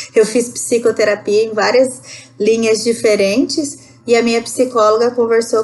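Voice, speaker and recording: This woman has a plain, everyday voice, fairly high in pitch. She speaks at a moderate pace with fairly even intonation. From Rondônia, northern Brazil. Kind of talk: podcast interview answer. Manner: conversational.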